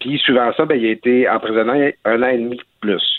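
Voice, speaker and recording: An ordinary speaking voice from a man, medium in pitch, with ordinary pitch variation and a moderate pace. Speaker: newspaper columnist. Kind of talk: radio interview.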